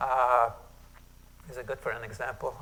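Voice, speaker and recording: With a Hungarian accent, a man speaks at a moderate pace. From Hungary. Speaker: retired professor. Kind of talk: workshop lecture. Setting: conference room with audience. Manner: casual, conversational.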